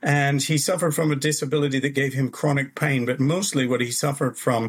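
A somewhat breathy voice with a Canadian accent, very even loudness and a fairly quick pace, in a very clean recording with a silent background. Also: man. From Canada. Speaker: author. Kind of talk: interview.

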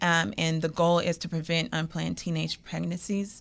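A woman uses a normal speaking voice with a fairly low pitch and ordinary pitch variation. She keeps a moderate pace on a very clean recording with a silent background. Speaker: entertainment executive and human rights advocate. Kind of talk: radio interview, casual chat. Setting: radio show.

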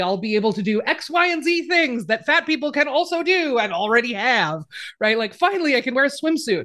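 A woman talks at a fairly quick pace. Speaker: writer, podcaster and activist. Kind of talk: casual interview chat.

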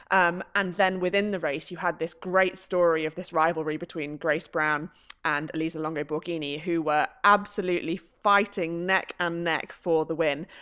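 The voice has a bright, sharp tone and fairly even intonation, with an English accent. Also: woman, fairly low pitch for a woman, moderate pace. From UK. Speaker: professional cyclist. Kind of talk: casual chat.

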